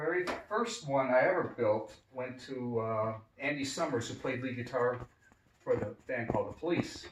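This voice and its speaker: A man with a medium-pitched voice talks while noticeable noise fills the background. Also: ordinary pitch variation, moderate pace. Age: 60s. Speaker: custom guitar builder. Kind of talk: casual chat. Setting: guitar studio.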